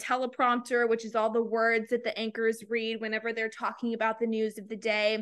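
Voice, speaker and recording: With an American accent and a fairly high pitch, a woman speaks at a moderate pace in a bright, sharp tone with monotone, flat intonation against a quiet background. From Texas, small town near San Antonio. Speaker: TV meteorologist. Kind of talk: casual chat.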